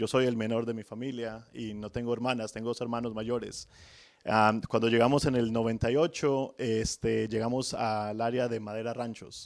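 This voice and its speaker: On a very clean recording with a silent background, the voice stays monotone with flat intonation. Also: man, medium pitch for a man, moderate pace. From Colombia, Manizales (paisa region). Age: 30s. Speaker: home loan officer. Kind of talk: podcast interview.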